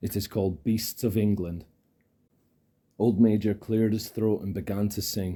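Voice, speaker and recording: In a very clean recording with a silent background, a man with a Scottish accent speaks at a moderate pace in a dark, mellow tone, fairly low in pitch, with monotone, flat intonation. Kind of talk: ASMR audiobook reading. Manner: soft-spoken, calm.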